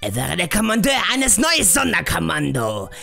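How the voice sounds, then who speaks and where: Over clear music in the background, a man speaks in a put-on character voice. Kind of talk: parody fandub, in-character Q&A. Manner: haughty, condescending.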